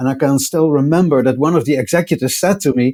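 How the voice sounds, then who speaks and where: Speaking at a fairly quick pace, this man has a dark, mellow tone, a fairly high pitch and fairly even intonation. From Netherlands. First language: Dutch. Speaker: technology executive. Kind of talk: podcast interview. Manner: halting, many fillers and repeats.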